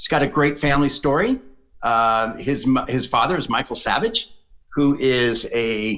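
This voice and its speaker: A plain, everyday voice moves at a moderate pace. Its intonation is lively. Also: man, fairly high pitch for a man. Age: 60s. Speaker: political consultant. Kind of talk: podcast interview.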